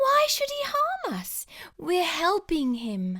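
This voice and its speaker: A put-on character voice comes out squeaky from a female-sounding speaker at an extremely high pitch. It moves at a very slow pace. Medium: read story.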